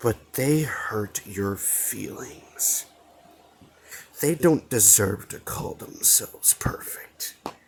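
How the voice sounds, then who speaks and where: A raspy man's put-on character voice at a very slow pace. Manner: sly, persuasive.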